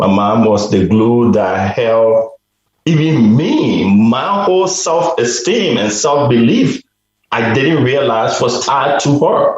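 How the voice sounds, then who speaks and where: A man speaks at a very slow pace with medium pitch and very wide pitch swings. His loudness stays very even. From Liberia. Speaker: courage coach and author. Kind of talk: interview. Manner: halting.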